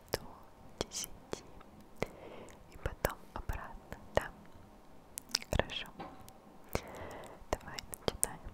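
Whispering and soft-spoken, a woman speaks at a very slow pace with long, frequent pauses. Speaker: ASMR creator. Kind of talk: soft whispered ASMR counting. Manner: soft close whisper into microphone. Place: home room. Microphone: studio mic.

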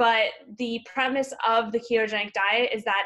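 This woman has a bright, sharp tone at a medium pitch. She talks at a fairly quick pace.

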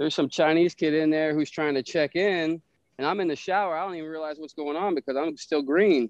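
Fairly even in intonation, a man with an unremarkable speaking voice talks at a fairly quick pace and fairly high pitch. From Pinellas Park, Florida. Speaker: former prisoner. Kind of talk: casual interview.

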